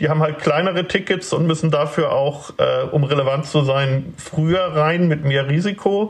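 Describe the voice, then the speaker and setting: Over noticeable background noise, a man talks at a moderate pace with hardly any pauses and very even loudness. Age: 50s. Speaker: startup incubator director and author. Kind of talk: interview.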